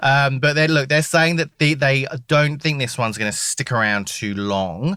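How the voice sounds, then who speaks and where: In a British accent, a voice with a bright, sharp tone and ordinary pitch variation comes through on a very clean recording with a silent background. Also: man. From Britain. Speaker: weather reporter. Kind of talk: casual interview.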